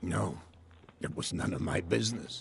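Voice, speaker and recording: The voice is a raspy put-on character. It's a man, going at a moderate pace. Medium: video game. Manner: genial but evasive.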